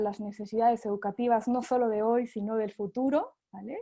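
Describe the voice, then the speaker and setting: In a Mexican accent, a woman speaks at a moderate pace with a dark, mellow tone and fairly even intonation over a quiet background. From Mexico. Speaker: sales representative for an education company. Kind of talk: webinar presentation. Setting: online webinar. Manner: hesitant, with frequent fillers.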